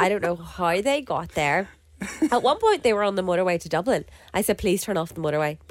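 In a Northern Irish accent, a woman with a medium-pitched voice speaks very fast, her intonation lively. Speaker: podcast co-host. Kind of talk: casual chat.

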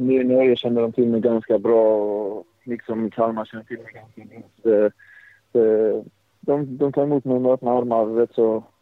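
Flat, monotone intonation from a man at a medium pitch. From Sweden, Blekinge. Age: 20s. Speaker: professional footballer. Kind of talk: interview. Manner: halting.

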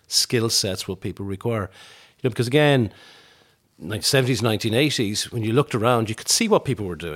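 With a western Irish accent, a man speaks at a fairly low pitch. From Ireland, Tuam, County Galway. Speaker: business group chief executive and economist. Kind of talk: interview. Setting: kitchen table at home.

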